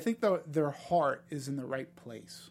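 Recorded very cleanly against a silent background, a man speaks in a normal speaking voice at a moderate pace with lively intonation. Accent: American. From Boston, US. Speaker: film critic. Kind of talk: casual chat.

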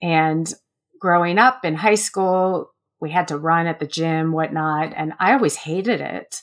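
A woman with a normal speaking voice talks at a fairly low pitch and a fairly slow pace. Her pitch varies in an ordinary way, and the recording is very clean with a silent background. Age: 40s. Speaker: writer, runner and recovery coach. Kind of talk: interview storytelling.

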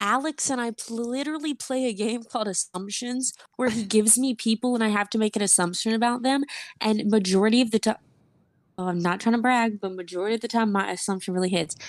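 Very fast speech in an American accent, with ordinary pitch variation. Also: woman, fairly high pitch for a woman. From US South, Georgia. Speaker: internet comedian and filmmaker. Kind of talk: casual chat. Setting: online voice call.

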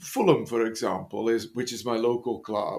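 A man speaks at medium pitch and a moderate pace with an English accent, on a very clean recording with a silent background. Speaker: football podcast co-host. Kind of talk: casual chat. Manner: jokey.

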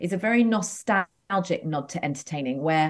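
In an English accent, a woman uses lively intonation at a fairly low pitch. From England, near London. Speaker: entrepreneur, former TV host. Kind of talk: casual chat. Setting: video call.

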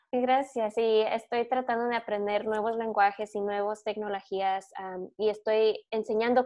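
A woman speaks fairly slowly in a monotone, flat intonation at a fairly high pitch. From US, born in California, raised in Michigan. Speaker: podcast co-host and teacher. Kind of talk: interview.

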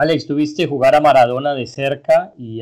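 This man has an unremarkable speaking voice at a medium pitch and talks at a moderate pace. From Colombia. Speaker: sports podcast host. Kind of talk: interview.

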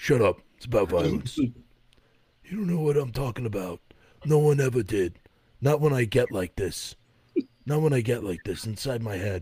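A man uses a raspy, put-on character voice at medium pitch, moving at a moderate pace with long, frequent pauses. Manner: menacing, gruff.

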